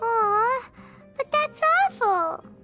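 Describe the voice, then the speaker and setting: A squeaky, cartoonish character voice at an extremely high pitch plays over clear background music. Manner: chatty, expressive.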